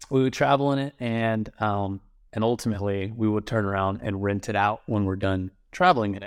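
The recording is very clean, with a silent background. A man with a normal speaking voice talks at a fairly quick pace and a fairly low pitch. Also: ordinary pitch variation. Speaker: guest, insurance agent turned real estate investor. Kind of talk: casual interview chat.

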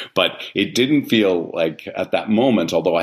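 With vocal fry and lively intonation, a man speaks at a fairly quick pace. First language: Italian. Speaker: theatre artistic director. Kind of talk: interview conversation.

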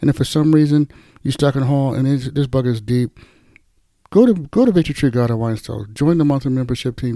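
A man speaks in a plain, everyday voice at a fairly high pitch, with ordinary pitch variation. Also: very clean recording, silent background. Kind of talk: sermon-style Bible teaching with a short group prayer. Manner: conversational, earnest, warmly exhorting.

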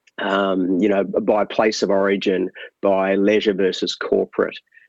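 A man with an Australian accent, recorded dry and close with no echo. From Tasmania, Australia (Hobart). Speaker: marketing consultant. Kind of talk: interview.

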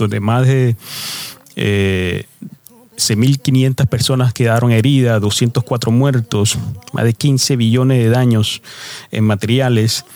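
A man's medium-pitched voice at a very slow pace with fairly even intonation, dry and close with no echo, over noticeable background noise. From New York City, Spanish-speaking immigrant family. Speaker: evangelical podcaster sharing prophetic dreams. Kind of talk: religious testimony and exhortation.

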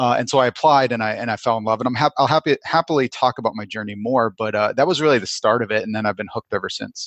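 A man's medium-pitched voice with an American accent, ordinary pitch variation and a very fast pace with hardly any pauses, dry and close with no echo, against a quiet background. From Vermont, US. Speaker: cybersecurity executive. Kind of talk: interview. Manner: animated.

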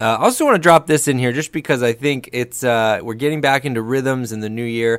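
At a fairly quick pace with hardly any pauses, a normal speaking voice shows ordinary pitch variation in a dry, close sound with no echo. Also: man, medium pitch for a man. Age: 30s. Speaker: church staff podcast host. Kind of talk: casual chat. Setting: studio.

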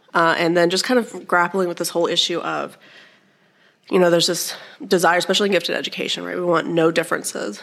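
A woman with a fairly low pitch and vocal fry speaks at a very fast pace. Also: ordinary pitch variation. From Alabama. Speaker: professor of educational studies, test author. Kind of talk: interview, casual explanation.

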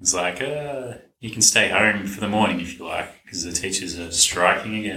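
Audible room echo surrounds a man who speaks at a moderate pace with a fairly low pitch and ordinary pitch variation. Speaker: podcast co-host. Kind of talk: casual chat.

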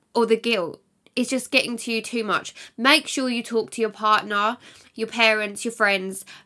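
A bright, sharp voice with an English accent comes through on a very clean recording with a silent background. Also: woman. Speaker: podcast host and mum. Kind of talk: casual monologue. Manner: chatty, laughs often.

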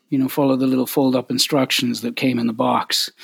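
With a Canadian accent, a man speaks fairly quickly at a medium pitch in a flat, monotone way, the sound dry and close with no echo. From Canada, Winnipeg. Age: 50s. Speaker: harmonica player and singer-songwriter. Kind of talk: casual interview.

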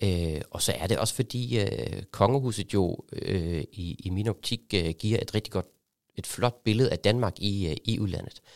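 On a very clean recording with a silent background and a dry, close sound with no echo, a man speaks at a fairly slow pace, his pitch fairly low with ordinary variation. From Germany. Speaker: export association secretariat head. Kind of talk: interview. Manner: halting, many fillers.

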